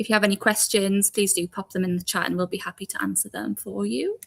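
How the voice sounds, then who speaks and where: A woman talks with a Geordie accent. Her pace is fairly quick. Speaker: recruiter. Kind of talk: live Q&A stream. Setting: live stream video call.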